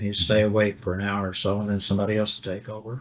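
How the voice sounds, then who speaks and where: In a Western Kentucky accent, a man speaks at a fairly quick pace and a fairly low pitch. The recording is very clean, with a silent background. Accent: Western Kentucky Southern. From Livingston County, Kentucky. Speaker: Vietnam war veteran. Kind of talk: oral history interview answer.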